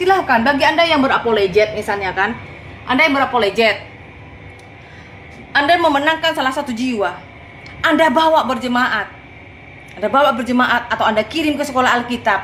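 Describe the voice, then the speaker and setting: A woman's high voice with a strong Madurese accent, lively intonation and an animated tone, at a fairly quick pace broken by long, frequent pauses, amid noticeable background noise. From Madura, Sampang. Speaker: evangelist preacher. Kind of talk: casual livestream talk. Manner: forceful.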